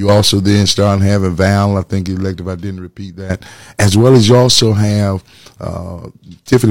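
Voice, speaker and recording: A man with an American accent and a normal speaking voice, fairly low in pitch, at a moderate pace with fairly even intonation, on a very clean recording with a silent background. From Atlanta, Georgia, US South. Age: 50s. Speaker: pastor and political candidate. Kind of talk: interview.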